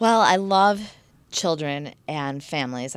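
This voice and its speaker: Over a very clean recording with a silent background, a woman with an American accent speaks very slowly at a very deep, low pitch with ordinary pitch variation. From Michigan, US. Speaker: yoga instructor and raw food chef. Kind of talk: interview.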